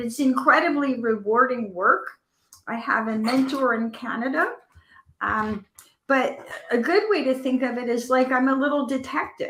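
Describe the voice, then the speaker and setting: Pitch variation in this woman's voice is ordinary. She talks at a high pitch. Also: moderate pace. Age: 60s. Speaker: medical intuitive healer and author. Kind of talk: interview.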